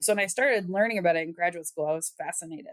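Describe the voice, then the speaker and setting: Speaking with a Wisconsin accent, a woman has a fairly low pitch and ordinary pitch variation. The sound is dry and close, with no echo. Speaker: epidemiology researcher. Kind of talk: interview. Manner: conversational, some repetitions and false starts.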